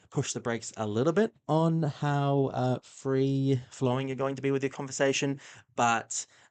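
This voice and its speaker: A man with an Australian accent, medium pitch, moderate pace, and a quiet background. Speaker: streamer reacting to videos. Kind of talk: casual live-stream commentary. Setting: live stream. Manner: halting, many fillers.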